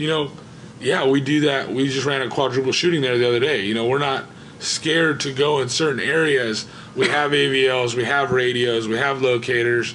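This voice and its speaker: Man with a medium pitch at a fairly quick pace, amid noticeable background noise and audible room echo. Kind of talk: panel discussion. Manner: fast; animated.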